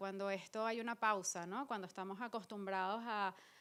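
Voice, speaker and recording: A woman speaks in a monotone with flat intonation. Her pace is fairly slow. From Venezuela. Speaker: performer and visual artist. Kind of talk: post-show talk with audience.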